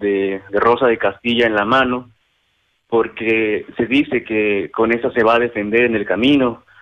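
A man's medium-pitched voice at a fairly slow pace, monotone and flat in intonation. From Mexico, San Pedro Zacachimalpa, Puebla. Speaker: community culture graduate. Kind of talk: phone interview. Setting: phone call. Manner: halting, with many fillers.

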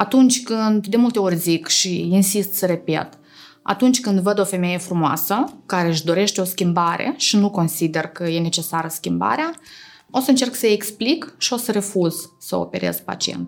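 A woman with a plain, everyday voice speaks at a medium pitch and moderate pace with lively intonation. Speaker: oral and facial aesthetic surgeon. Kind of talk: interview.

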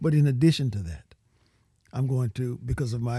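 In a Louisiana accent, a man speaks at a medium pitch with ordinary pitch variation, his tone dark, mellow and somewhat breathy, on a very clean recording with a silent background. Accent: Louisiana Southern US. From Louisiana, Cajun country. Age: 70s. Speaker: political candidate. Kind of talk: interview.

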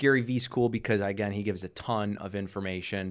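A man talks at a fairly quick pace in an unremarkable speaking voice, fairly low in pitch with fairly even intonation. The recording is very clean, with a silent background. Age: 30s. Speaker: real estate investor. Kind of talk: interview. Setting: studio.

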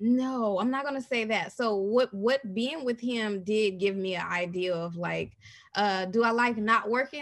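A woman has a normal speaking voice with a fairly high pitch. She talks at a fairly slow pace against a quiet background. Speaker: podcaster. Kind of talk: casual chat.

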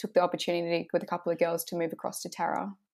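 A woman speaks with an Australian accent at a fairly low pitch and fairly even intonation. The recording is very clean, with a silent background. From Shoalhaven, New South Wales, Australia. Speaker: footballer. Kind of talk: casual interview.

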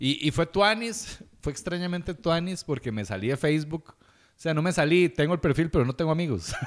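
An animated man with a Costa Rican accent, fairly high-pitched and fairly quick, lively in intonation, on a very clean recording with a silent background. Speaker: podcast host. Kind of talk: casual chat.

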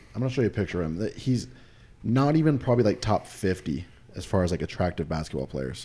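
Talking at a very fast pace, a man with an American accent has a fairly low pitch, a dark, mellow tone and vocal fry. His pitch makes very wide swings. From Utah. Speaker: podcast co-host. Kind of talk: casual chat.

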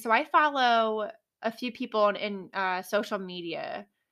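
A woman with a fairly high pitch and a bright, sharp tone speaks fairly slowly with lively intonation. The recording is very clean, with a silent background. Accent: American. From New Jersey. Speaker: podcast host, real estate agent. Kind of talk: solo podcast monologue.

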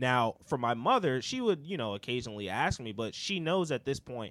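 A man speaks at a moderate pace in a plain, everyday voice, his pitch medium and his intonation lively. The recording is very clean, with a silent background. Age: 30s. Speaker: podcast host. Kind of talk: casual chat.

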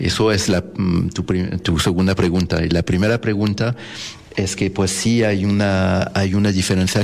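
Over noticeable background noise, a man with a French accent speaks at a fairly slow pace, his very deep, low pitch kept to a fairly even intonation. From France (Paris). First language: French (speaking Spanish). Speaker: jazz pianist. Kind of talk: casual interview. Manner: halting, many fillers.

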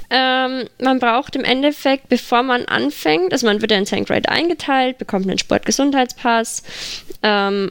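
Fairly high-pitched, fairly slow speech from a woman with an unremarkable speaking voice and lively intonation. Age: 20s. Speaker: para-equestrian rider. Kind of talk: casual interview.

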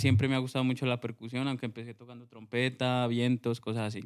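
A man speaks in a monotone with flat intonation. His pitch sits in the medium range. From Colombia, Huila. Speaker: music producer and sound engineer. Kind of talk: casual interview.

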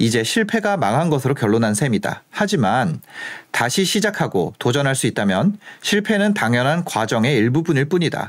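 A fairly high male voice at a moderate pace, with very wide pitch swings. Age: 30s. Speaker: finance YouTuber and author. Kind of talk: monologue to camera. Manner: hesitant with frequent fillers.

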